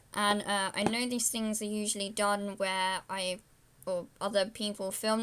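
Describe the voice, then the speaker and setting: A woman with a British accent talks at a fairly slow pace in a fairly high voice. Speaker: vlogger. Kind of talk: unboxing video. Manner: loud; casual, rambling. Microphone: laptop camera mic, low quality.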